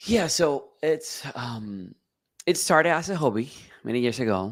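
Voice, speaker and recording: On a very clean recording with a silent background, a man at medium pitch speaks with very wide pitch swings. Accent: Spanish. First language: Spanish. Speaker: filmmaker and photographer. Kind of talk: interview. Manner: halting.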